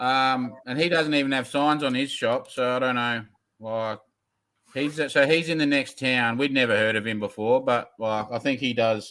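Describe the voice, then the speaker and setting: In an Australian accent, a man speaks at a medium pitch with a bright, sharp tone and fairly even intonation. His pace is moderate, and the recording is very clean with a silent background. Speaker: custom car builder. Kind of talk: casual chat. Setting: live stream.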